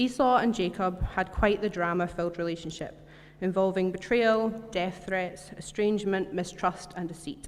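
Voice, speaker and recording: A woman with a Scottish accent speaks with fairly even intonation. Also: medium pitch for a woman. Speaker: church member giving a talk. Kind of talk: sermon. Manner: fast.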